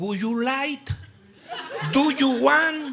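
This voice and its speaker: A raised, projected voice with an animated tone carries over noticeable background noise. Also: man. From Mexico. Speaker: preacher. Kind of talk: sermon.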